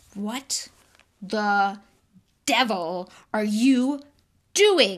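A woman uses a put-on character voice pitched fairly high. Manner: angry, through gritted teeth.

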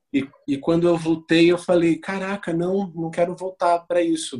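A man's fairly high-pitched voice on a very clean recording with a silent background. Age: 30s. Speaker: actor and photographer. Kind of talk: interview.

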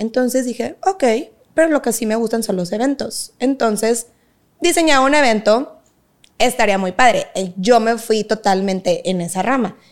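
An ordinary speaking voice from a woman, fairly high-pitched, lively in intonation, moderate in speed. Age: 20s. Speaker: dance teacher and academy founder. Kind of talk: casual interview.

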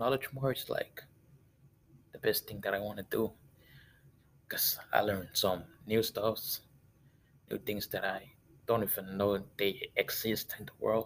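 A man speaks with a non-native accent and big swings in loudness. His delivery has long, frequent pauses. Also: moderate pace. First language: not English. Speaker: student podcaster. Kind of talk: solo monologue. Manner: halting.

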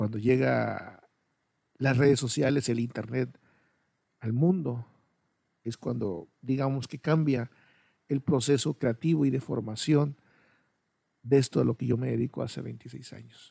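Somewhat breathy, a man speaks fairly slowly with long, frequent pauses and ordinary pitch variation. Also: medium pitch for a man, dry, close sound with no echo. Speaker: podcaster, videographer. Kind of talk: personal monologue. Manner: hesitant.

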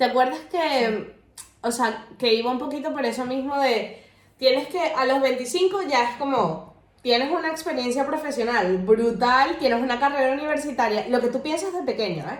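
With lively intonation and a high voice, a woman talks at a moderate pace in a room with audible echo. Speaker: podcast co-host. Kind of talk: casual chat.

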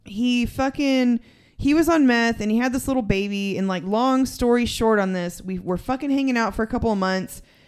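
A woman with a West Texas accent speaks at a fairly high pitch and fairly quick pace with ordinary pitch variation, on a very clean recording with a silent background. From Texas (San Angelo). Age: 30s. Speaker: recovering addict. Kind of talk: casual chat.

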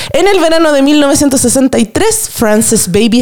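A woman speaks with a Chilean accent, her tone animated and her pitch swinging very widely. Noticeable background noise sits behind her. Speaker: podcast host. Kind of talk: casual chat.

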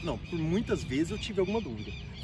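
This man talks at a fairly quick pace, his pitch high for a man and his intonation lively. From Brazil, São Paulo state (Ribeirão Preto). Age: 30s. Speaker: human development coach. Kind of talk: casual interview chat. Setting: in person, hot location in Barretos.

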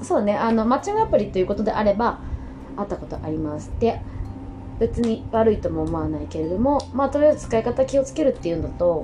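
Her loudness swings a lot as a woman speaks at a very fast pace. Noticeable background noise runs beneath her. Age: 30s. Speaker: podcaster. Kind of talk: casual monologue. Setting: at home.

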